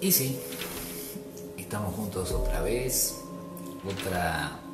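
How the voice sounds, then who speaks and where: The speaker is a man. Loud music plays in the background. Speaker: journalist and radio and TV presenter. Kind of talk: casual talk to camera. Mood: warm, grateful. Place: home room. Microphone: webcam.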